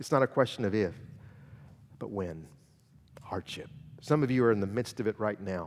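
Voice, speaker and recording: With long, frequent pauses, a man talks at a fairly quick pace in a fairly low pitch with ordinary pitch variation. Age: 50s. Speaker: guest preacher. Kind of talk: sermon. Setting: church.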